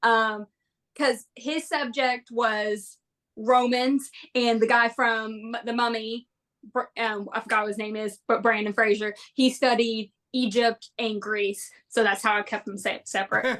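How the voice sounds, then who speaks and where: The woman's voice sits at a fairly high pitch, delivered in a monotone, flat intonation. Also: fairly slow pace. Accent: Southern US. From Boston, then Kentucky. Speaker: podcast guest, history major. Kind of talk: casual chat. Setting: live stream.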